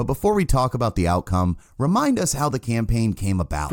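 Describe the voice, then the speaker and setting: In a very clean recording with a silent background and a dry, close sound with no echo, a man speaks at a fairly quick pace with very wide pitch swings. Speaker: podcast host.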